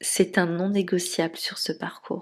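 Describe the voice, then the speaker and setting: At a very slow pace, a woman speaks with a fairly low pitch and fairly even intonation. The recording is very clean, with a silent background. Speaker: spiritual relationship coach. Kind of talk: podcast monologue.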